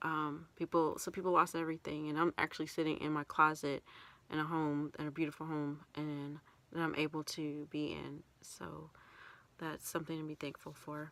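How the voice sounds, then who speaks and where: Soft-spoken, a woman talks at a moderate pace with a very deep, low pitch and monotone, flat intonation. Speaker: vlogger. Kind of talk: casual chat. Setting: in a closet. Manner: halting. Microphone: too quiet.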